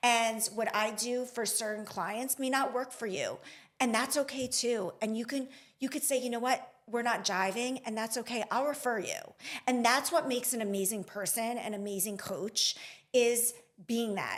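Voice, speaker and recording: A loud woman's voice, high in pitch. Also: moderate pace. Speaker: nurse and business coach. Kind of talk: podcast interview. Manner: animated.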